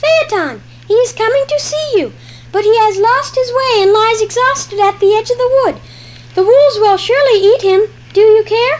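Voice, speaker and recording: A female-sounding, squeaky put-on character voice rises to an extremely high pitch. Clear background noise runs underneath. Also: moderate pace. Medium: audio drama.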